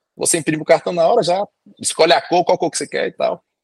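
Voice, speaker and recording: With a Brazilian accent, a man talks at a very fast pace in a high pitch, recorded with a dry, close sound and no echo. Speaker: doctor and immigration agent. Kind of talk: podcast interview.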